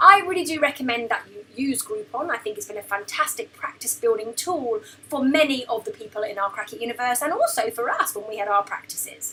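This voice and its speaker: A woman with a British accent speaks in a raised, projected voice at a fairly quick pace, her high pitch swinging very widely and her loudness shifting in big swings. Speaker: business mentor and former chiropractor. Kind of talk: tutorial. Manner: fast.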